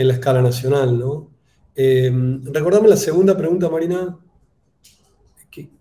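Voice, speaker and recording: A man with a Buenos Aires accent speaks in a fairly high pitch with a dark, mellow tone and a somewhat breathy quality. His pitch varies in an ordinary way, his loudness swings widely, and he leaves long, frequent pauses. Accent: porteño Buenos Aires. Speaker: political scientist and national government official. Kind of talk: conference Q&A answer. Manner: hesitant, many fillers (eh, este).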